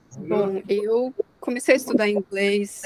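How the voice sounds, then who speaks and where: Over noticeable background noise, a woman talks at a medium pitch in a dry, close sound with no echo. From Brazil. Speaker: alumna, sustainability professional. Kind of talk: online talk to students. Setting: video call.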